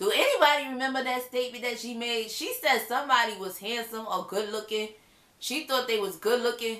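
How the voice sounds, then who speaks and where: A loud, animated woman's voice, high-pitched, with noticeable background noise. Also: ordinary pitch variation, fairly quick pace. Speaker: reality TV reviewer. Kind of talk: casual video review monologue.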